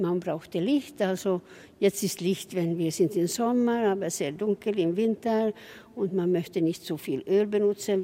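A woman with a Swedish accent, medium pitch, ordinary pitch variation and a fairly slow pace. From southwestern Finland, Swedish-speaking. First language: Swedish (speaking German). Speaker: tour guide. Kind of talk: guided tour.

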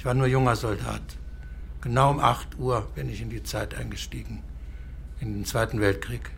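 Amid audible room echo, a man talks at a moderate pace with long, frequent pauses. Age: 80s+. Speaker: war veteran, care home resident. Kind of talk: confused conversation. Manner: halting.

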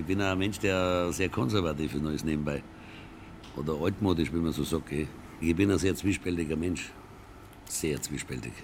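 A man's very deep, low voice with vocal fry, at a moderate pace, with ordinary pitch variation and long, frequent pauses. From Lower Franconia (Würzburg). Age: 70s. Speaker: concert venue operator. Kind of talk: interview.

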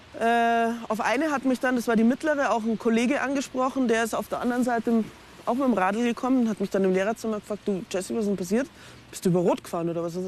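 A woman talks at a very fast pace with a fairly high pitch. Noticeable background noise runs underneath. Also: ordinary pitch variation. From Munich, Bavaria. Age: 40s. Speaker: teacher. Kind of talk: interview testimony. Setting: outdoors.

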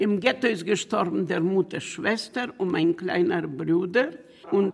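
The speech is very slow, with ordinary variation in pitch. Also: woman. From Bukovina region, Romania/Ukraine border. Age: 80s+. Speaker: Holocaust survivor, retired teacher. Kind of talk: interview testimony.

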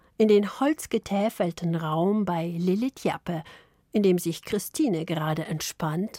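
Recorded with a dry, close sound and no echo, a woman at medium pitch speaks at a very slow pace. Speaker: radio journalist. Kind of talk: radio feature narration.

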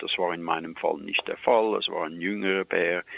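Noticeable background noise runs behind a man who speaks at a moderate pace. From Switzerland. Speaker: wildlife expert. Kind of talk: storytelling.

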